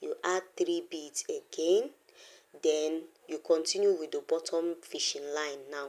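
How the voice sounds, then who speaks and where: A woman speaks at a fairly slow pace. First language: not English. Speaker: craft tutorial creator. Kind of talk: tutorial.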